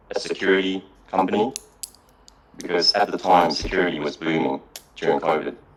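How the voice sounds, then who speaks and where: A man speaks with fairly even intonation against noticeable background noise. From Japan and Melbourne, Australia. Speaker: salesperson. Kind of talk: casual interview chat.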